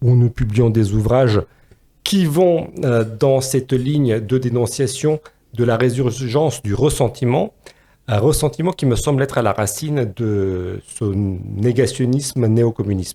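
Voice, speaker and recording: Man's medium-pitched voice with a dark, mellow tone, ordinary pitch variation, a fairly slow pace and a slight Romanian accent. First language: Romanian (speaking French). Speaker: philosopher and podcast co-host. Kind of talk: podcast discussion. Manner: hesitant, many fillers.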